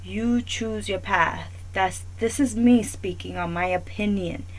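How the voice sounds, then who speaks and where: A woman with a New York accent speaks in a very deep, low voice at a fairly slow pace. Her intonation is monotone and flat. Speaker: talk show host. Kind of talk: opinion monologue.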